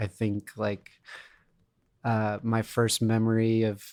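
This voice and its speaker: A man's flat, monotone delivery at a very slow pace. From Florida. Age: 30s. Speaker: music teacher intern. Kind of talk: interview. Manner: casual, many fillers.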